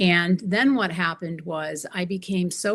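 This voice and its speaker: This woman has a normal speaking voice, fairly low in pitch, with ordinary pitch variation. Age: 60s. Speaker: empowerment coach. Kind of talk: interview.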